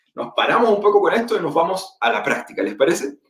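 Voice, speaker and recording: This man talks at a moderate pace with a Chilean accent. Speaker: teacher and education technology presenter. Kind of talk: webinar presentation. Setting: online webinar.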